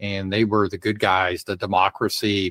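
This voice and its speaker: An ordinary speaking voice, a man with an American accent talks at a moderate pace and a fairly low pitch, the sound dry and close with no echo. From Colorado, US. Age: 60s. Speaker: political commentator. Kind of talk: casual interview. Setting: remote call on livestream.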